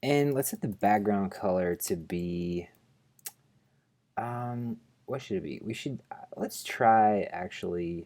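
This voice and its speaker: Mumbling very slowly in a dark, mellow tone, a man speaks at a fairly low pitch with lively intonation. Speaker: programming tutorial host. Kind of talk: screencast coding tutorial. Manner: mumbling while thinking aloud; casual, hesitant with fillers.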